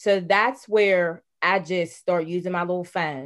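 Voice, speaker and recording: Against a quiet background, a woman with an American accent speaks in an ordinary speaking voice. Her pitch is fairly low and her intonation fairly even. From Pittsburgh, Pennsylvania. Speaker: nonprofit founder. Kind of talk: interview.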